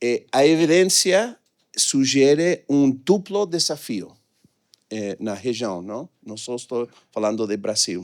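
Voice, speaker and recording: At a very slow pace, a man speaks at a medium pitch with very wide pitch swings and big swings in loudness. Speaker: economist presenting research. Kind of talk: conference presentation. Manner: hesitant, many filler sounds.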